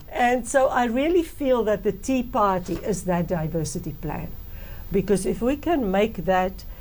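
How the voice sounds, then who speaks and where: A woman with a non-native accent talks at a fairly slow pace. Her medium pitch makes very wide swings. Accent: heavy non-native. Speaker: politician, party co-leader. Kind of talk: interview.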